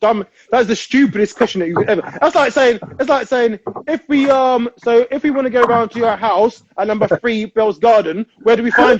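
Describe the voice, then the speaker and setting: A London accent at a fairly quick pace, with ordinary pitch variation. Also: man, extremely high pitch for a man. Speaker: amateur footballer. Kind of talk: casual chat.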